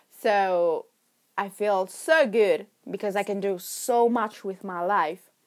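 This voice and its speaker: At a very slow pace, a woman with an Italian accent speaks at medium pitch with ordinary pitch variation. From Milan, Italy. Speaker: podcast host. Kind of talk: casual monologue. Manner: rambling, laughing often.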